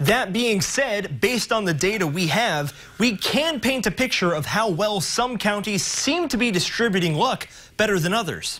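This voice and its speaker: At a moderate pace, a man with a high voice and lively intonation speaks over noticeable background noise. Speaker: TV news reporter and anchor. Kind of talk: TV news reporter narration and stand-ups.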